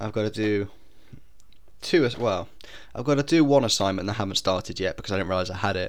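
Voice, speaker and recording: A man talks at a very fast pace in a fairly low pitch with ordinary pitch variation. His speech is broken by long, frequent pauses. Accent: British. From Britain. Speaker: podcast host. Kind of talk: casual monologue.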